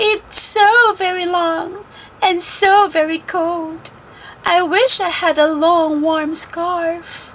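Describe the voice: In a put-on character voice, a woman speaks slowly with an extremely high pitch, a fairly bright tone and fairly even intonation.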